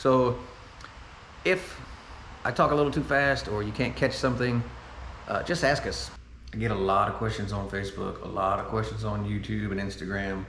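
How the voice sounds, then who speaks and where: Through audible room echo, a man with a fairly low pitch and ordinary pitch variation speaks with long, frequent pauses. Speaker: car enthusiast video host. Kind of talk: product review tutorial. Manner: fast; animated.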